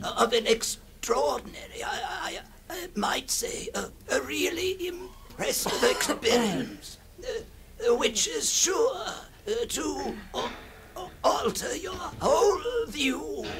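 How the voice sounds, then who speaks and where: Clear background noise sits under a put-on character voice. It moves at a very slow pace with very wide pitch swings. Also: man, extremely high pitch for a man. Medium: old radio play. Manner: halting, stammering, repetitive.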